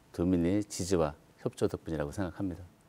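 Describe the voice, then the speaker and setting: Here a man speaks at a very deep, low pitch with a dark, mellow tone. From South Korea. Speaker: provincial council party floor leader. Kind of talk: political panel discussion. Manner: brief, concise answers. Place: studio. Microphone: lapel.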